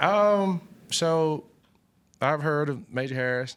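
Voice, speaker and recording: On a very clean recording with a silent background, a man speaks with an Alabama accent. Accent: Southern US (Alabama). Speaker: college football coach. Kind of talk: press conference. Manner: halting, many fillers.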